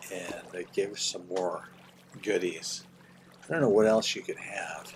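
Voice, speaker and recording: A man with an American accent at a fairly slow pace, against noticeable background noise. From Oklahoma. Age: 60s. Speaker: gaming streamer, retired English teacher. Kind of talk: casual gaming livestream commentary. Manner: rambling, hesitant with fillers.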